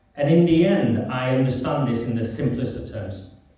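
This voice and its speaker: A man talks at a moderate pace and medium pitch with ordinary pitch variation. Noticeable background noise and audible room echo fill the recording. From northern England, Oldham. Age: 50s. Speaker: campaigner and writer. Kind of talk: public talk. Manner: soft-spoken.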